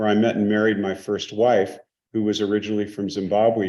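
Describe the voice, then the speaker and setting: Over music in the background, a man with fairly low pitch speaks at a moderate pace. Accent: American. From US West Coast, San Francisco. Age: 60s. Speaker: investor and business executive. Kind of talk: interview.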